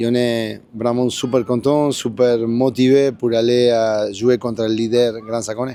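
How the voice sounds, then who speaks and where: A man with a Spanish accent speaks at medium pitch in a dark, mellow tone. His delivery is monotone and flat at a fairly slow pace. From Argentina. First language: Spanish (speaking French). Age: 60s. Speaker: football coach, former pro player. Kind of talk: post-match interview. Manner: halting, repeats words.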